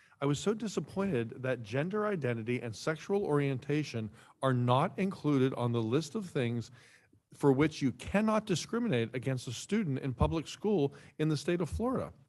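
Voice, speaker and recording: This man's voice sits fairly high and swings very widely in pitch. He keeps a moderate pace in a very clean recording with a silent background. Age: 60s. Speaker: town commissioner. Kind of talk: public meeting discussion. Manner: halting, with stammers and fillers.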